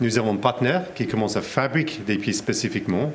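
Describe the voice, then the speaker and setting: The speaker has an English accent and lively intonation. Noticeable background noise runs underneath. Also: man. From England. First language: English (speaking French). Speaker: company representative. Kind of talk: interview. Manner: halting, many hesitations.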